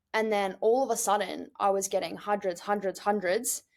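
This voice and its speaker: Monotone and flat, a woman's medium-pitched voice delivers the lines. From New Zealand. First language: Russian. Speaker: startup co-founder. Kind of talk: interview.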